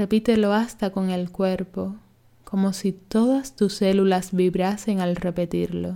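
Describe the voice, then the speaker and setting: In a calm, soothing, dark and mellow tone, a woman of medium pitch speaks at a fairly slow pace with fairly even intonation. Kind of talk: guided meditation (yoga nidra). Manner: slow, calm, soothing, measured, with long pauses; gentle, hushed, instructive.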